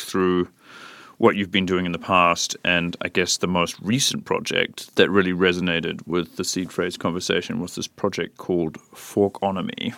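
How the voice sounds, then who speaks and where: A man with a New Zealand accent speaks at a moderate pace, his very deep, low pitch paired with a bright, sharp tone. The recording is very clean and silent behind him, with a dry, close sound and no echo. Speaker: podcast host, artist. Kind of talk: casual interview. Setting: studio.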